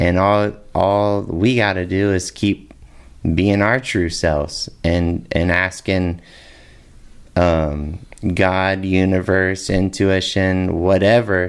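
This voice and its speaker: A man's very deep, low voice at a very slow pace, with very even loudness. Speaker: podcast host. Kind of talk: casual podcast conversation.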